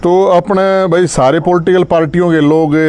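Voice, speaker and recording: A man speaks with a Haryanvi accent. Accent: Haryanvi-accented Hindi. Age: 40s. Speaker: social activist. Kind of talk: live stream address to followers.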